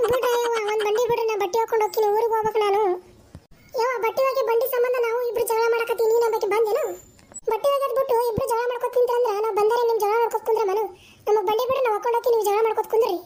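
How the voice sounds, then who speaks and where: In a cartoonish character voice, a woman talks fairly quickly at an extremely high pitch with monotone, flat intonation. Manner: hurried, exasperated.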